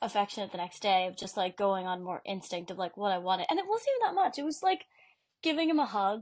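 The speaker has an unremarkable speaking voice. Pitch varies in an ordinary way. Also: woman. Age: 20s. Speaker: podcast co-host. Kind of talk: casual chat.

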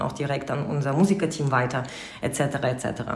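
Ordinary pitch variation at a fairly quick pace, with noticeable background noise and audible room echo. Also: woman. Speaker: wedding host and event company co-founder. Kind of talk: casual interview.

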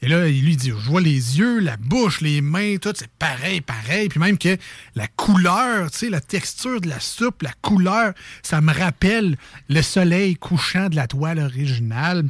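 A man's fairly high voice with very wide pitch swings, at a fairly slow pace, in a dry, close sound with no echo. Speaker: radio show co-host. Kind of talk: casual radio banter.

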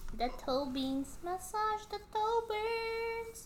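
Against noticeable background noise, a woman talks at a very slow pace with very wide swings in pitch. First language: not English. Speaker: podcast co-host. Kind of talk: casual chat. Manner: animated.

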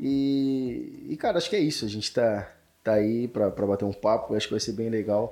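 A man at medium pitch with a dark, mellow tone, ordinary pitch variation and a moderate pace, on a very clean recording with a silent background. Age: 20s. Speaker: accounting firm owner. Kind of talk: casual chat.

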